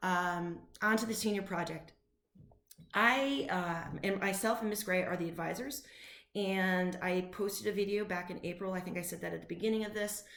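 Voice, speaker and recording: This woman's voice sits at a medium pitch with ordinary pitch variation. An echo from the room can be heard. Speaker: high school teacher. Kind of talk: recorded class announcement. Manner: fast; animated.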